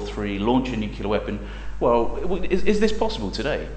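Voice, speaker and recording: Over noticeable background noise, a man speaks with an English accent. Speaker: academic researcher and author. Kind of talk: lecture. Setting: seminar room with audience. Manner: fast; hesitant, many fillers.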